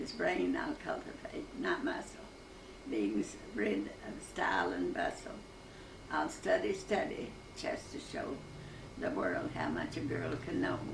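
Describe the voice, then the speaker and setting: A woman speaks at a fairly slow pace with an Appalachian accent, leaving long, frequent pauses. Noticeable background noise runs behind her. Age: 80s+. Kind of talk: poetry reading.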